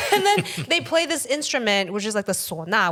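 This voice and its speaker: Noticeable background noise is present in this clip. A woman talks at a moderate pace. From Taiwan. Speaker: comedian. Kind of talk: casual chat.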